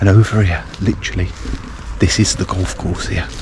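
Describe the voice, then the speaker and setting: There is noticeable noise in the background. Over it, a man whispers. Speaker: solo camping vlogger. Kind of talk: casual vlog narration. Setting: outdoors. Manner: whispering.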